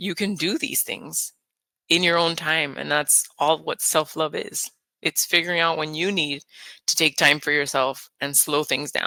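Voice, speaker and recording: Calm and soothing in tone, a woman with a very deep, low pitch and a bright, sharp tone speaks with fairly even intonation, in a very clean recording with a silent background and a dry, close sound with no echo. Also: fairly slow pace. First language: Spanish. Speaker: nurse and hypnotist. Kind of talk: casual interview. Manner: calm, soothing.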